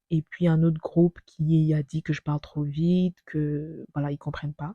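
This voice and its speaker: A dark, mellow, somewhat breathy voice speaks at a moderate pace in a flat monotone, with a dry, close sound and no echo. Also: woman. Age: 20s. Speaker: vlogger. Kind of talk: personal narration.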